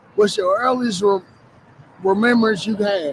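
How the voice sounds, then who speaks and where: There is noticeable background noise as a man speaks at a high pitch with ordinary pitch variation. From US South. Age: 50s. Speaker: recovery program participant. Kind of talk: testimony.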